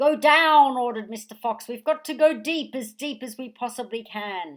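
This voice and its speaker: A woman puts on a character voice, pitched high. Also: moderate pace. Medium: read story.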